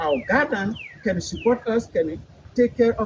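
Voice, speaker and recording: Over noticeable background noise, a man with a non-native accent talks at a moderate pace in a high voice with lively intonation. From Africa. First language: not English, speaks about seven languages. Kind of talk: public speech. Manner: halting.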